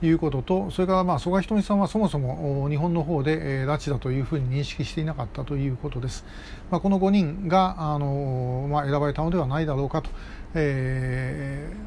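The man's pitch is fairly high, with ordinary variation. He moves at a fairly quick pace. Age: 60s. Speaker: podcast host, activist. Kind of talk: solo commentary monologue. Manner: frequent filler hesitations.

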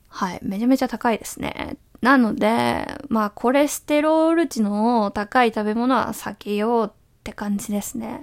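A woman with a normal speaking voice, fairly high in pitch, talks at a moderate pace with ordinary pitch variation and big swings in loudness. The recording is very clean, with a silent background. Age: 20s. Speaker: web writer and podcaster. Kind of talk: solo monologue. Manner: casual, many fillers.

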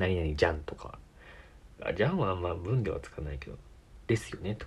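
A man at a moderate pace. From Tokyo, Japan. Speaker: podcast host. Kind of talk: casual solo chat.

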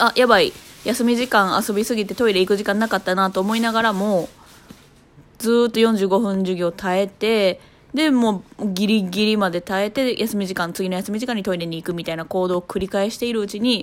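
A woman speaks in an unremarkable speaking voice at a medium pitch. Her intonation stays fairly even. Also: moderate pace. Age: 30s. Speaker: podcaster, mother. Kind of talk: casual solo talk. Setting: at home holding a baby on the sofa.

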